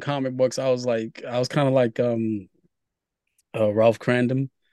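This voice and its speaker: A man with a New York accent. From New York City, Brooklyn. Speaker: comic book writer and publisher. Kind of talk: interview.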